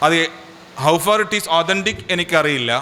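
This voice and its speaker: A man's high voice with a Keralan accent, ordinary pitch variation and a moderate pace, over noticeable background noise. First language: Malayalam. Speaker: organisation leader. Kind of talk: public speech.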